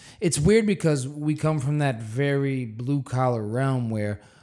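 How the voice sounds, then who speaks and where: An animated tone in a very clean recording with a silent background. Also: man. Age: 30s. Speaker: actor and voiceover artist. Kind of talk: casual chat. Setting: studio.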